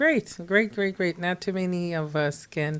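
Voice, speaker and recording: Fairly even in intonation, a woman speaks on a very clean recording with a silent background. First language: non-English native language. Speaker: podcast host. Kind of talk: casual interview.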